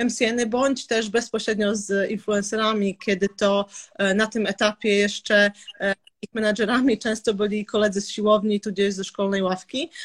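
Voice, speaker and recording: In an unremarkable speaking voice, a woman speaks at a fairly high pitch with fairly even intonation and a moderate pace. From Serbia, raised in Olsztyn, Poland from age 10-12. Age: 30s. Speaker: entrepreneur. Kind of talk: interview. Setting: live stream.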